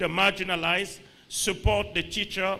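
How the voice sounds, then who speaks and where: At a moderate pace, a man speaks in a raised, projected voice with a high pitch. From Republic of the Congo. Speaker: international organization official. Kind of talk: goodwill speech at a conference. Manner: halting, with many fillers and restarts.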